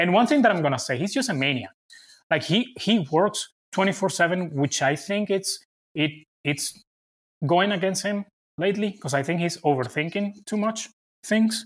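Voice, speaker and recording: On a very clean recording with a silent background, a high-pitched man with a Venezuelan accent talks at a moderate pace with lively intonation and long, frequent pauses. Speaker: sports reporter and TV producer. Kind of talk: casual interview. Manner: halting.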